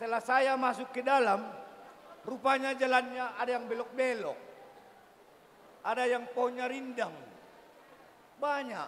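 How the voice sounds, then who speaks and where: A man's extremely high voice in a monotone, flat delivery at a fairly slow pace, broken by long, frequent pauses. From Batak village, North Sumatra. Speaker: bride's uncle giving wedding speech. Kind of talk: ceremonial speech.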